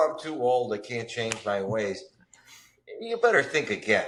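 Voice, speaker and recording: The speaker is a man with a medium pitch and a normal speaking voice. He talks at a moderate pace. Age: 50s. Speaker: recovering addict and tech spokesperson. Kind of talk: podcast interview.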